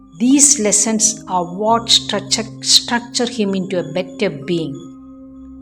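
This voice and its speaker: Over music in the background, a woman talks with lively intonation at a fairly high pitch. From Cochin, Kerala, India. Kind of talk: spiritual storytelling narration.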